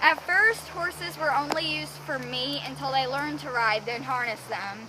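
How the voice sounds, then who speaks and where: Raising and projecting her voice, a woman with a Southern US accent speaks at a moderate pace and high pitch over noticeable background noise. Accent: American country. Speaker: horse rider. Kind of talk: casual educational presentation to camera.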